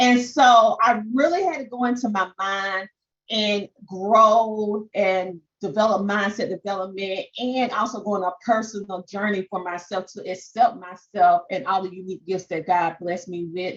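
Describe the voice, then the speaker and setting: With a strong Southern accent, a woman speaks at a moderate pace in a medium pitch with ordinary variation. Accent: strong Southern twang. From US South. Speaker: podcast and social media coach. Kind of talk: webinar presentation.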